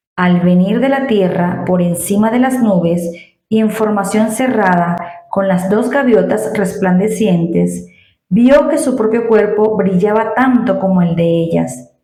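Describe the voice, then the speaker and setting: A woman's normal speaking voice, medium-pitched and fairly slow, with ordinary pitch variation and very even loudness. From Venezuela. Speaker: Spanish teacher. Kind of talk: read story. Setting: home recording with new microphone.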